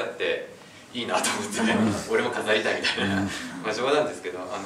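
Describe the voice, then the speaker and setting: A man talks very fast while noticeable noise fills the background. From Kanagawa, Japan. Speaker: outdoor vocational school student. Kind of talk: self-introduction speech to classmates. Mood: cheerful, joking. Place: classroom. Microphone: camera far.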